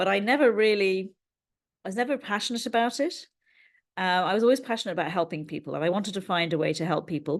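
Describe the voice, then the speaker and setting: Against a quiet background, a woman with an English accent and a medium pitch talks at a very fast pace with lively intonation and long, frequent pauses. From England. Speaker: NLP trainer and learning coach. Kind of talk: interview.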